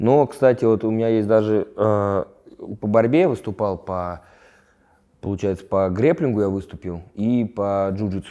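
Against a quiet background, a man speaks fairly slowly at a fairly low pitch with ordinary pitch variation and a dark, mellow tone. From Moscow region, Russia. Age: 20s. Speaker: fighter; interviewee. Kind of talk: interview; interview answer. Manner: halting. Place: home room. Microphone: lapel.

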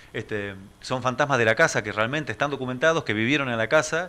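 The voice has a bright, sharp tone, moving at a fairly quick pace with ordinary pitch variation. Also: man. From Argentina, San Nicolás, Buenos Aires province. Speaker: museum director guest. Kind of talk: radio interview. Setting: radio studio. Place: studio. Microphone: studio mic.

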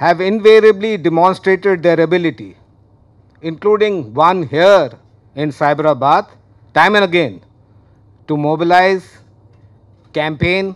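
A high-pitched male voice with ordinary pitch variation and long, frequent pauses over a quiet background. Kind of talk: formal speech. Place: hall. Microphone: podium.

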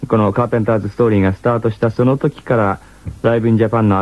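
A man with fairly low pitch and ordinary pitch variation. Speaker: radio host. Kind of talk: radio program narration. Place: studio. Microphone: old recording.

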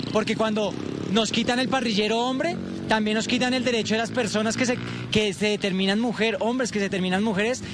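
With noticeable background noise and a dry sound with no echo, a high-pitched man talks at a very fast pace with fairly even intonation. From Colombia. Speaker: protest leader. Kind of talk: street interview. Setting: outdoors. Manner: emphatic. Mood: indignant, protesting. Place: street. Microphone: handheld.

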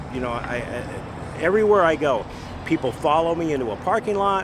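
With noticeable background noise, a man's voice comes through dry, with no echo. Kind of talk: interview answer. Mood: enthusiastic storytelling. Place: street.

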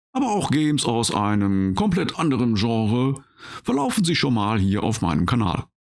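A man's medium-pitched voice at a moderate pace, with lively intonation, very even loudness and a quiet background. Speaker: gaming video creator. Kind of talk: casual gameplay commentary; casual channel introduction. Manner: calm.

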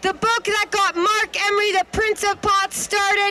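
Against noticeable background noise, a woman speaks in a raised, projected voice. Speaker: speaker. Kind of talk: public speech. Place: street. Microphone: handheld.

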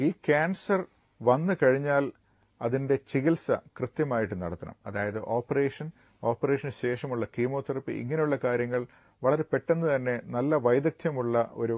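A man talks with ordinary pitch variation against a quiet background. The sound is dry, with no echo. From Kerala, India. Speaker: gastroenterologist doctor; guest. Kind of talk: TV health interview. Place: studio. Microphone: lapel.

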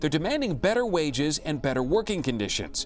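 Over music in the background, a man talks at a fairly quick pace with very wide pitch swings. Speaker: news anchor. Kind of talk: TV news read.

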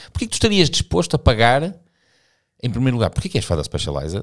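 Speaking at a very fast pace, a man makes very wide pitch swings with vocal fry. The background is quiet. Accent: European Portuguese. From Portugal. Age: 50s. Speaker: cycling podcast host. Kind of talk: casual chat. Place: studio. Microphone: studio mic.

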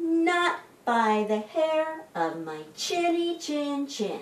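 In a put-on character voice, a woman speaks very slowly at a high pitch with big pitch swings, and the room echo is audible.

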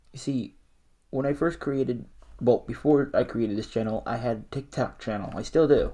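A man with a dark, mellow tone and vocal fry speaks at a medium pitch and moderate pace, with ordinary pitch variation. His loudness swings widely against a quiet background. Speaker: small YouTuber. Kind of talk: reaction video commentary. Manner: less energetic than usual.

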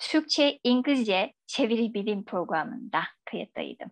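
Against a quiet background, a woman speaks in a Chinese accent. Her voice is high and her pace fairly slow. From China. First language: Chinese (speaking Turkish). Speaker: academic; guest. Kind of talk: radio interview; interview answer. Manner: halting. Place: home room. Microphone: video call.

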